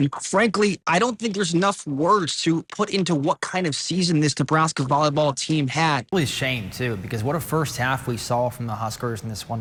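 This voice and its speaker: A man with a fairly high pitch and an ordinary speaking voice talks at a moderate pace with lively intonation. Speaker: sports reporter and anchor. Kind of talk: TV sports news anchoring and reporting. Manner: upbeat.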